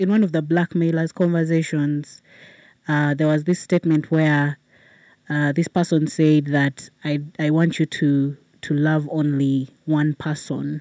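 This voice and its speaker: This woman has a very deep, low pitch and a dark, mellow tone, with monotone, flat intonation at a fairly slow pace. Her loudness is very even, and the very clean recording has a silent background and a dry, close sound with no echo. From Uganda, Kampala. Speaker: storyteller. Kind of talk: live storytelling.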